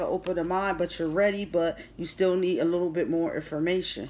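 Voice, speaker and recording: A woman speaks at a fairly quick pace with an American accent. Her intonation is fairly even, with light background noise. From Philadelphia. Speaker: tarot reader. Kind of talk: tarot reading. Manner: casual. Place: home room. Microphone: phone near.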